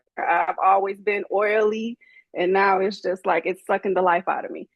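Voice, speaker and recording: The speaker has a slight Southern US accent and a monotone, flat intonation, moving at a moderate pace. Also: woman, medium pitch for a woman. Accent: slight Southern country twang. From Chicago. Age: 40s. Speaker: doctorate holder sharing life story. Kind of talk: podcast interview.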